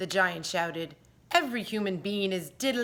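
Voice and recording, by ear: Ordinary pitch variation, reading aloud in a natural voice.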